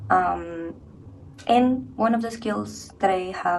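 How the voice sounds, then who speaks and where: A woman speaks in a space with audible room echo. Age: 20s. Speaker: university student. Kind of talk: personal reflection.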